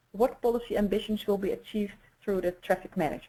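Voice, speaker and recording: At a very fast pace, a woman talks in a fairly high, somewhat breathy voice. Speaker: traffic management expert presenter. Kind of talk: webinar presentation. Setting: webinar. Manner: hesitant, many fillers.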